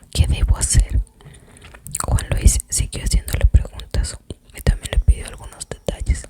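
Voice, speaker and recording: Whispering at a fairly slow pace, a woman sounds dry and close with no echo, though noticeable background noise is present. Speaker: ASMR content creator. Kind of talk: whispered book reading. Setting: close to the microphone, chewing gum. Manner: whispered, soft-spoken.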